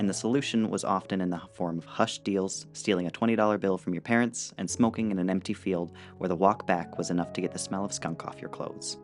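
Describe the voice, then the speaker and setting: Music plays behind a man with a very deep, low pitch. He talks at a fairly quick pace with lively intonation. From Alberta, Canada. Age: young. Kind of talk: personal digital story narration.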